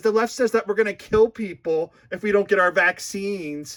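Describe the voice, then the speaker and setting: A man's raised, projected voice with a bright, sharp tone at a moderate pace, on a very clean recording with a silent background. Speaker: political commentator. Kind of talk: casual rant. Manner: sarcastic.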